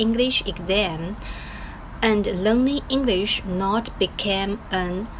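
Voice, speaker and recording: With noticeable background noise behind her, a woman talks very slowly in a Chinese accent. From China. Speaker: English learner vlogger. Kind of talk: casual video diary. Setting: office. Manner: halting, many fillers.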